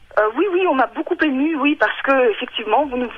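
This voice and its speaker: A high-pitched woman speaks very fast with ordinary pitch variation, and noticeable background noise is present. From Ukraine or Russia. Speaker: radio caller. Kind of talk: radio call-in testimony. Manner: halting, many hesitations.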